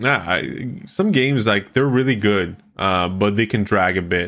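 A man with a fairly low pitch, against a quiet background. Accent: French Canadian. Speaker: radio host and streaming company founder. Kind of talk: casual interview.

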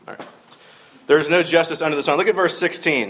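A man is talking. He has a Southern US accent. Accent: Southern US (Georgia). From US South, middle Georgia. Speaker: minister. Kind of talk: sermon.

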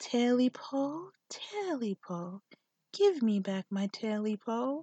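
In a put-on character voice, a female-sounding speaker talks very slowly at a high pitch. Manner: creepy, demanding.

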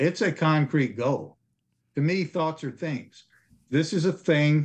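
A man at a fairly high pitch and fairly slow pace, against a quiet background. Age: 60s. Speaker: insurance telesales agent. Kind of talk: casual interview chat. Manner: earnest, determined, slightly halting.

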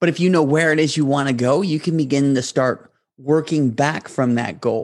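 This is an unremarkable speaking voice from a man, pitched fairly high and moving at a moderate pace. His loudness stays very even and his intonation fairly even. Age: 30s. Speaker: podcast host. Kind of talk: motivational monologue.

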